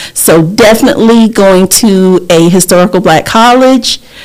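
A woman's medium-pitched voice, with ordinary pitch variation, moves at a fairly slow pace against noticeable background noise. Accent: American. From US South. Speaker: insurance agent and community advocate. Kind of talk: casual interview.

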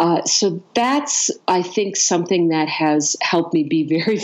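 A woman with an American accent at a moderate pace, lively intonation, and noticeable background noise. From US. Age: 50s. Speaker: coach and consciousness expert. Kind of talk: interview.

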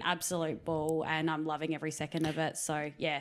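Speaking with an Australian accent, a woman has a fairly low pitch and a bright, sharp tone in a very clean recording with a silent background. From Riverland, South Australia. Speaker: netball player and coach. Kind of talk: casual interview chat. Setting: recorded in her house.

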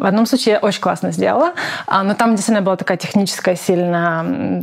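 A woman at medium pitch with ordinary pitch variation, talking at a fairly quick pace amid noticeable background noise. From Ukraine, Zaporizhzhia. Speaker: product designer. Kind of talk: interview.

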